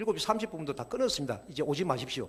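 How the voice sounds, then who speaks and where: A male voice moves through ordinary pitch variation. Nothing is heard behind it on this very clean recording. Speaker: church educator. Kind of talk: lecture to church members. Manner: fast.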